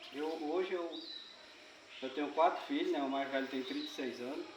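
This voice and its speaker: Amid noticeable background noise and audible room echo, a man speaks in a fairly high voice with fairly even intonation. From Brazil, Acre (Xapuri). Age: 60s. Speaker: rubber tapper community leader. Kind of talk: interview. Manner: halting.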